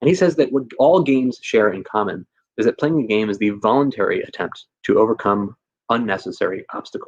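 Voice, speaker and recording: The speaker talks at a very fast pace. The sound is dry and close, with no echo. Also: man. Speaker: teacher and education speaker. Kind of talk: conference presentation. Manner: animated.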